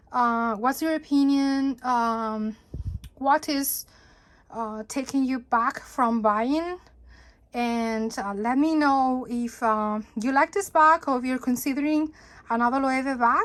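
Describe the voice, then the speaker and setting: Speaking at a fairly slow pace, a woman has a high-pitched voice. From Catalonia, Spain. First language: Spanish/Catalan. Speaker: handbag reviewer. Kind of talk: casual video review. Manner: hesitant, many fillers.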